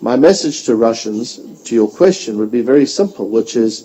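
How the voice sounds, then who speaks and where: Over noticeable background noise, the speech moves at a moderate speed with lively intonation. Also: man. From South Africa. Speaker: think tank director and author. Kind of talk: panel discussion answering audience question.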